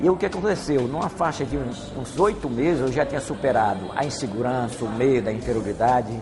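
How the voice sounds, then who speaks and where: A man's medium-pitched voice with lively intonation, a fairly quick pace and hardly any pauses, over noticeable background noise. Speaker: martial arts master. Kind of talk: interview. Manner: halting.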